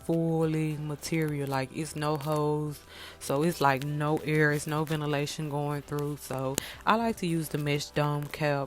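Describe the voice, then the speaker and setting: A woman talks fairly slowly in a very deep, low voice with a Mississippi accent and fairly even intonation. Music is playing behind her. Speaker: wig maker and beauty vlogger. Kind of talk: tutorial. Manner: casual, halting.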